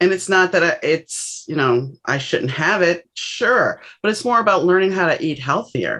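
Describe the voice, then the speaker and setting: A woman with an American accent speaks with hardly any pauses, using lively intonation and a bright, sharp tone. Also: medium pitch for a woman, moderate pace. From US South, New Orleans. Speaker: author. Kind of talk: podcast interview.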